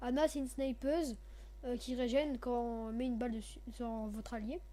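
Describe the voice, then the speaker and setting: A woman talks at an even, middling speed amid clear background noise and some room reverberation. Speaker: gaming youtuber. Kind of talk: gameplay commentary. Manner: halting. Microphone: too quiet.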